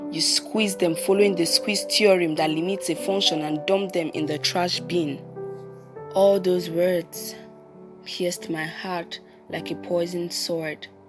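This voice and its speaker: Over music in the background, a woman talks at a fairly slow pace with a fairly low pitch and ordinary pitch variation. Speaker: spoken word poet. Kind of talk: spoken word poetry performance.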